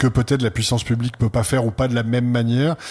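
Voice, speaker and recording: A man's medium-pitched voice. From France. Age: 60s. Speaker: art center director. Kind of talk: interview. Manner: hesitant, many fillers.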